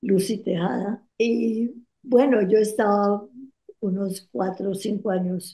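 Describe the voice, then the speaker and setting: A woman's dark, mellow voice at a very slow pace. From Colombia, Cali. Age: 80s+. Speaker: interview guest, retired poet. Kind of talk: interview, reminiscing. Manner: halting, with hesitations.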